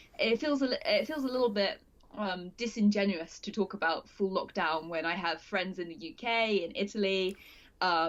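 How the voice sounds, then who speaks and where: A woman speaks with a British accent at a medium pitch. Her intonation is lively and her pace moderate. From UK. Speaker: multimedia journalist. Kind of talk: casual interview chat. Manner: loud; halting, self-correcting.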